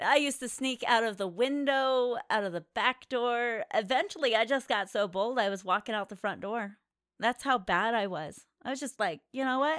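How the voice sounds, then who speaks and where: A plain, everyday voice speaks at a moderate pace with lively intonation. The recording is very clean with a silent background, and the sound is dry and close with no echo. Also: woman, fairly high pitch for a woman. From Colorado. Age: 40s. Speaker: podcast co-host, adult entertainment industry. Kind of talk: casual chat.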